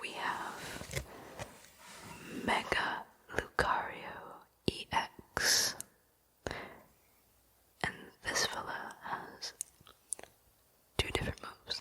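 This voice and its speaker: Whispered speech at a very slow pace, broken by long, frequent pauses. Background noise is noticeable. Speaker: ASMR creator. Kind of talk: ASMR whisper talk. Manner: soft-spoken.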